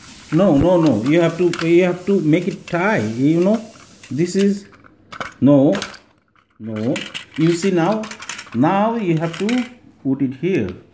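Speech comes at a very slow pace with long, frequent pauses over light background noise. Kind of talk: casual talk to a child. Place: home room. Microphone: phone near.

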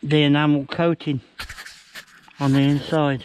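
Recorded with a dry sound and no echo, a man speaks at a fairly slow pace over light background noise. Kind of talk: casual vlog chat. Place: forest. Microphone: phone near.

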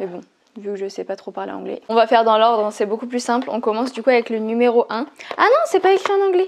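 Speaking at a very fast pace, a woman with a fairly high pitch makes very wide pitch swings and big swings in loudness. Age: 20s. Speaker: beauty YouTuber. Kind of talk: product unboxing video. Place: home room. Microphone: lapel.

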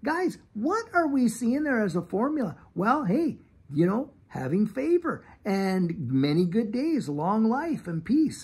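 Very slow and high-pitched, a man's voice moves through very wide pitch swings. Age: 50s. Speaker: YouTube channel host. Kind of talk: devotional talk. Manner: animated. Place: garden. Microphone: phone near.

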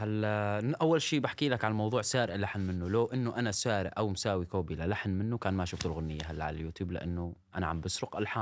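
Speaking at a fairly quick pace with hardly any pauses, a man with a Syrian accent uses a fairly low pitch and ordinary pitch variation. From Syria, Al-Hasakah. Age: 20s. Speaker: social media personality and singer; podcast guest. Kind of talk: interview. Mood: defensive but calm. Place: studio. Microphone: studio mic.

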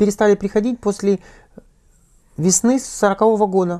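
At a moderate pace, a woman speaks in a dark, mellow tone against a quiet background. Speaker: interviewer, editor; interviewer. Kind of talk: interview. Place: studio. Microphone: lapel.

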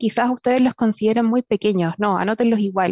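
This woman has a fairly high pitch. Her voice sounds dry, with no echo. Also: quiet background. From southern Chile, Temuco; Chile. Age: 20s. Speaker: software engineer; guest. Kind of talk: personal story in panel talk. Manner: halting, many fillers. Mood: warm, smiling, encouraging. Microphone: headset.

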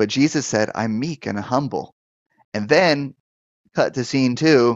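A man speaks at a fairly slow pace with ordinary pitch variation. The sound is dry with no echo, and the background is quiet. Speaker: pastor and deliverance minister. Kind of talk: live-stream Q&A show, pastoral teaching. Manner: conversational, hesitant with fillers. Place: office. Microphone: headset.

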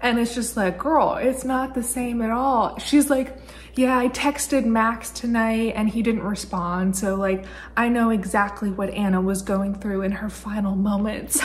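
At a fairly slow speed, a woman talks while her pitch varies in an ordinary way. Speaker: book vlogger. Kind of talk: casual vlog chat. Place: home room. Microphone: phone near.

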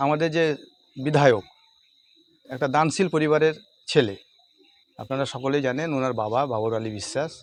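An ordinary speaking voice from a man, fairly high in pitch with ordinary pitch variation. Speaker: local party official. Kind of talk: news interview statement.

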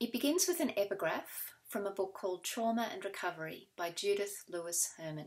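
A woman speaks at a medium pitch with hardly any pauses. The background is quiet. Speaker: poet. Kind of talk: poet reading her own confessional poem sequence aloud. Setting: recorded reading video. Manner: measured, deliberate pacing with weighted pauses between fragments. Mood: calm, measured, solemn. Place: home room. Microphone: webcam.

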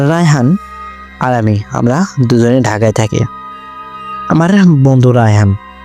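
Music plays in the background as a man speaks at a medium pitch with ordinary variation. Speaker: radio jockey, horror story narrator. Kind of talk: horror story narration.

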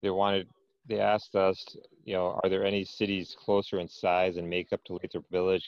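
A man with a very deep, low pitch speaks in a monotone, flat intonation, the sound dry with no echo and the background quiet. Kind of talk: meeting report. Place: home room. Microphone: earbuds.

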